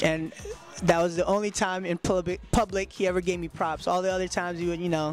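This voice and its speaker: Against music in the background, a speaker with an American accent talks at a very fast pace in a monotone, flat intonation. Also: man, high pitch for a man. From New York City. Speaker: hip hop DJ. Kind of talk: interview storytelling. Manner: casual, many fillers; quiet, subdued.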